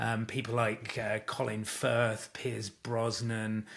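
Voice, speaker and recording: At a very slow pace, a man with a British accent speaks in a medium pitch. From UK. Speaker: communications coach and author. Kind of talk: interview conversation.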